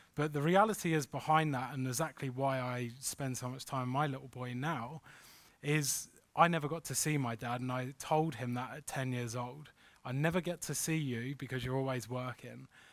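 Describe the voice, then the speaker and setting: A man with a London accent speaks at a medium pitch and a moderate pace. The recording is very clean, with a silent background. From London, England. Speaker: crypto investment consultant. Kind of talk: workshop presentation. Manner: animated.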